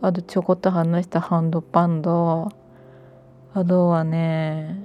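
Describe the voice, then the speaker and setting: A woman's fairly low, dark, mellow voice in a Miyagi accent, monotone and flat, in a very clean recording with a silent background. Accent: Miyagi (Sendai-area Tohoku) dialect. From Miyagi Prefecture, Japan. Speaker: podcaster. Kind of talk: casual monologue. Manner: unscripted, meandering.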